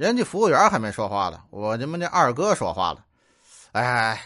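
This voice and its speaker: With a Tianjin accent, a man talks at a moderate pace in a medium pitch that makes very wide swings. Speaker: comedian. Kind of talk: comic storytelling. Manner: animated.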